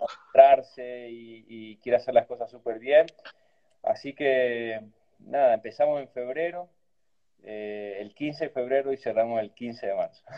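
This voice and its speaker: With a plain, everyday voice, a man talks at a fairly slow pace and medium pitch, keeping his intonation fairly even while his loudness swings a lot. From Argentina, Cafayate (Salta). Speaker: winemaker. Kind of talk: casual interview over video call.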